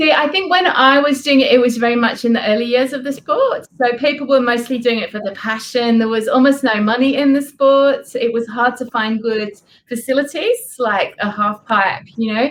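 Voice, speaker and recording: A high-pitched woman with an English accent, at a moderate pace with hardly any pauses and ordinary pitch variation. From England. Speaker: author. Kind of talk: interview.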